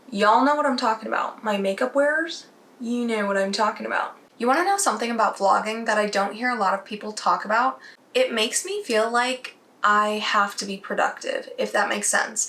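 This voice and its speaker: The speaker goes at a fairly quick pace with ordinary pitch variation, amid noticeable background noise. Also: woman, fairly high pitch for a woman. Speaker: beauty vlogger. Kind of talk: casual vlog talk.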